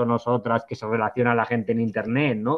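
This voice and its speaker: A man speaks at a medium pitch. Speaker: criminology researcher. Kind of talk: webinar talk. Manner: fast.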